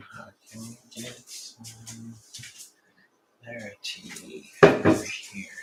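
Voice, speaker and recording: Against music in the background, a man talks at a very slow pace with long, frequent pauses. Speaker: cooking show host. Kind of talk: live cooking demonstration. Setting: home kitchen livestream. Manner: casual, chatty.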